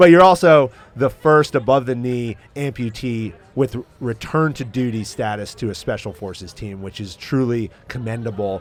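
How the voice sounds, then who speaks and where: With an American accent, a man speaks at a moderate pace in a medium pitch, using ordinary pitch variation. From New England, near Boston. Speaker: podcast host. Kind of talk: casual interview. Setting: inside a truck at an event.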